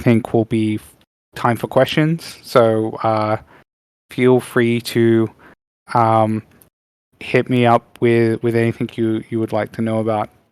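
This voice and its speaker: A man in an Australian accent, medium-pitched and monotone, flat in intonation, at a fairly slow pace with long, frequent pauses, on a very clean recording with a silent background. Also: dry, close sound with no echo. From Western Australia, Perth. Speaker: game industry professional. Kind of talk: presentation. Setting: panel event with audience. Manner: hesitant, many fillers.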